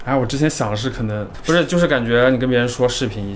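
Very fast speech with a slight Hunan accent and audible room echo. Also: man. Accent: slight Hunan-tinged Mandarin. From Jiangxi, China. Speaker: graduate student. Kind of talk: casual chat.

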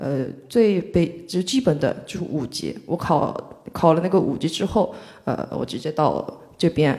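A woman with a Korean accent speaks at a fairly slow pace. Her pitch is fairly low and her intonation lively. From South Korea, Mokpo (South Jeolla). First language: Korean (speaking Chinese). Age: 20s. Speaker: Korean student in China. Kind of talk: live panel discussion.

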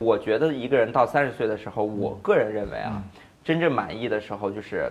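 A man speaks at a moderate pace. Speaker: startup founder. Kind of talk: casual interview.

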